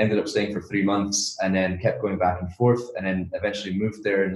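This man's voice sits at a fairly low pitch. It is also somewhat breathy. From Scotland, Edinburgh. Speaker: product sourcing and manufacturing entrepreneur. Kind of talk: podcast interview.

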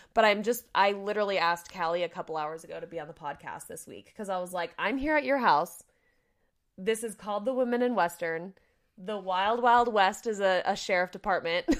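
In a plain, everyday voice, a woman with an American accent speaks fairly quickly at a medium pitch, with ordinary pitch variation and big swings in loudness. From California. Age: 20s. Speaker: podcast host and equine dentist. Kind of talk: casual interview chat.

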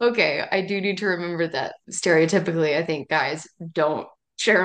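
A woman with an American accent speaks at a moderate pace in a fairly low pitch against a quiet background. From East Tennessee, Appalachia. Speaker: novelist. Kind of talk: casual interview.

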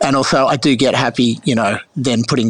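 A man's medium-pitched voice with an Australian accent and noticeable background noise. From Sydney, Australia. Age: 50s. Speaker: winemaker. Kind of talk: interview.

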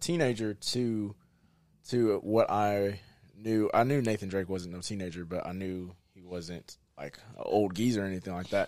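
Fairly low in pitch, a man talks at a moderate pace with fairly even intonation in an unremarkable speaking voice. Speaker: friend of host. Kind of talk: casual chat.

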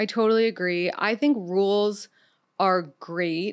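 A woman with an American accent speaks in a plain, everyday voice at a medium pitch with ordinary pitch variation. The recording is very clean, with a silent background. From New York City. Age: 30s. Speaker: dating podcast host. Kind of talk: casual interview chat. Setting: studio.

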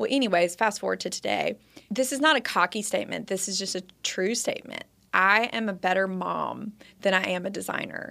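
A woman speaks with vocal fry and a bright, sharp tone, her pitch varying in an ordinary way. The recording is very clean, with a silent background. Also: medium pitch for a woman, fairly quick pace. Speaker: interior designer and mother. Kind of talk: casual chat. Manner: bold.

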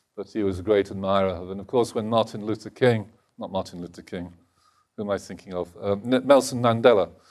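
A very fast man with an English accent, fairly low in pitch, with fairly even intonation and big swings in loudness. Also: very clean recording, silent background. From England, Lincolnshire. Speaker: think tank executive and author. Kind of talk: lecture.

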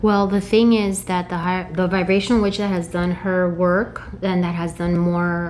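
A woman's fairly low voice with an American accent, monotone and flat at a moderate pace, with audible room echo and noticeable background noise. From US, came from Mexico at age two. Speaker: holistic practitioner and intuitive guide. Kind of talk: casual interview chat.

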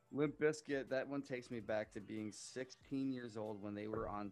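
A man with a normal speaking voice talks at a moderate pace. His intonation stays fairly even. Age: 30s. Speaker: army veteran, nonprofit podcaster. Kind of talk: casual chat.

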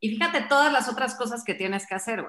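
Bright, sharp tone from a woman, with lively intonation. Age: 40s. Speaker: fitness program founder. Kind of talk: casual chat.

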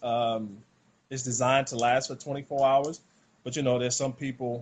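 A man talks at a moderate pace with a Southern US accent. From US South, rural South Carolina. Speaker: former pro basketball player, wellness product seller. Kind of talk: casual interview, sales pitch.

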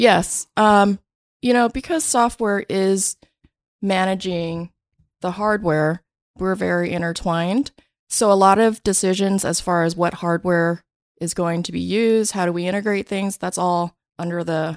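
Heard in a very clean recording with a silent background and a dry, close sound with no echo, a woman uses an ordinary speaking voice at medium pitch, fairly slow with fairly even intonation. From Vietnam, raised in US from childhood. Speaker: tech company CTO. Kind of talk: interview. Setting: studio.

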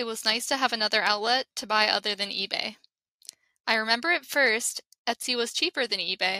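Bright and sharp in tone, a woman's fairly high voice moves at a fairly quick pace with ordinary pitch variation. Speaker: reader voicing an absent guest. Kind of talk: reading aloud. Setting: studio. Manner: halting.

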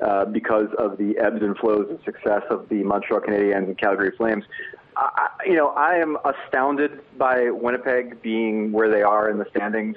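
A man's medium-pitched voice in an American accent, with ordinary pitch variation and a moderate pace, over noticeable background noise. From New Jersey, US. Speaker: sports writer. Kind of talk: casual interview. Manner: halting with many repeated fillers.

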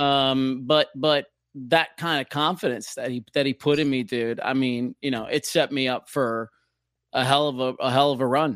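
The recording is very clean, with a silent background and a dry, close sound with no echo. It carries a plain, everyday voice at a moderate pace with fairly even intonation. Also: man, medium pitch for a man. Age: 40s. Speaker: former radio DJ. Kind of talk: casual interview conversation. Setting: studio.

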